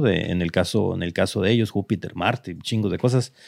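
In a plain, everyday voice, a man talks at a fairly quick pace with a fairly low pitch and ordinary pitch variation against a quiet background. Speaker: tech podcast host. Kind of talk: casual chat.

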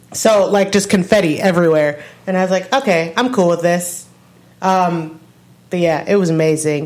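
A woman with a fairly low pitch speaks at a moderate pace, with ordinary pitch variation. She has an unremarkable speaking voice. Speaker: music review podcast co-host. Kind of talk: casual chat.

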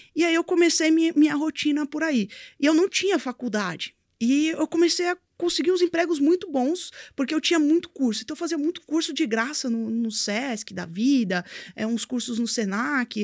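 A woman's high-pitched voice with lively intonation, recorded very cleanly against a silent background, the sound dry and close with no echo. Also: moderate pace. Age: 20s. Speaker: crypto and blockchain entrepreneur. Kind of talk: interview, casual chat. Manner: halting, many fillers.

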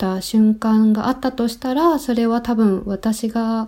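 At a fairly slow pace, a woman with a fairly high pitch and a dark, mellow tone speaks with fairly even intonation. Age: 30s. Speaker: graphic designer and environmental activist. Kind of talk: casual interview chat. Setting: remote call from Denmark.

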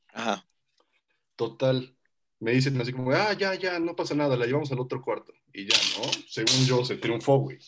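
Medium-pitched male voice, lively intonation, moderate pace, long and frequent pauses. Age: 20s. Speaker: podcast co-host. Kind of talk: casual chat.

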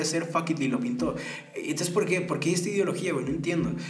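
A man's fairly high-pitched voice comes through noticeable background noise and audible room echo. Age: 20s. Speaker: podcast host. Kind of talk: casual monologue. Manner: halting.

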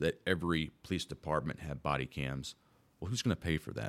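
A man with an American accent speaks at a fairly quick pace. His pitch is very deep and low, with vocal fry. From Southern Illinois, US Midwest. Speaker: police officer and state senate candidate. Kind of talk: interview, campaign-style answers.

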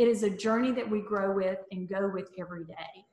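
Ordinary pitch variation from a woman in a Southern US accent. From US South, North Mississippi. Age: 60s. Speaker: motivational speaker. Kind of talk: casual chat. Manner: animated.

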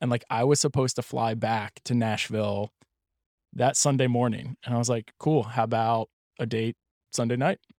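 In a normal speaking voice with an American accent, a man of medium pitch talks at a moderate pace with fairly even intonation, the sound dry and close with no echo on a very clean recording against a silent background. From Pennsylvania, US. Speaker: stepfather sharing his story. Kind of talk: casual interview.

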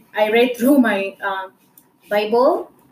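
A woman with a normal speaking voice talks at a fairly high pitch, using ordinary pitch variation. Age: 20s. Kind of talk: faith-sharing monologue.

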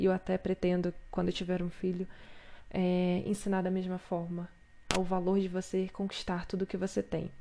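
Her tone dark and mellow, a woman speaks at a moderate pace and a medium pitch with very even loudness. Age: 20s. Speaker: podcast host. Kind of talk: solo podcast monologue. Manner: animated.

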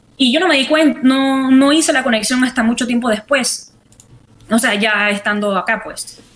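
There is noticeable background noise behind this woman. Her voice is high-pitched with ordinary pitch variation. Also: moderate pace. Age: young. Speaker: artist. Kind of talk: interview. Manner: halting.

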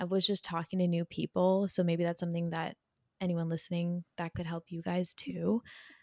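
Speaking at a fairly quick pace, a woman with a fairly low pitch uses a normal speaking voice, heard in a dry, close sound with no echo. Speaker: podcast co-host. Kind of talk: casual chat.

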